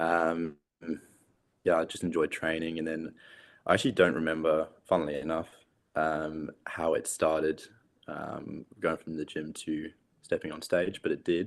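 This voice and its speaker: A man with an English accent speaks at a moderate pace, his pitch very deep and low. His intonation is monotone and flat, broken by long, frequent pauses. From England. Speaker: competitive bodybuilder. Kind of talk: interview.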